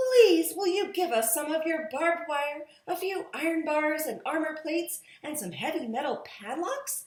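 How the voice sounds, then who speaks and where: A woman does a put-on character voice at an extremely high pitch, with a slight echo. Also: moderate pace, lively intonation. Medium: read story.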